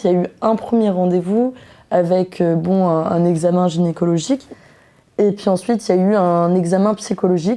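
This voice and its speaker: On a very clean recording with a silent background, a woman speaks at a moderate pace in a dark, mellow tone with ordinary pitch variation. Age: 20s. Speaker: young woman sharing abortion experience. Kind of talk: personal testimony. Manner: hesitant, many fillers.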